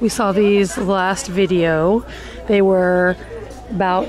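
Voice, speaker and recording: A woman speaks over noticeable background noise. The sound is dry with no echo. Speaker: shopping vlogger. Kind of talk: casual vlog chat. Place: shop. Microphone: phone near.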